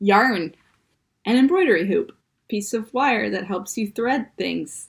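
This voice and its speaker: Speaking with a Midwestern accent at a fairly slow pace, a woman uses a playful tone, lively intonation, a fairly high pitch and vocal fry. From US Midwest. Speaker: comedy show host. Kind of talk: tutorial.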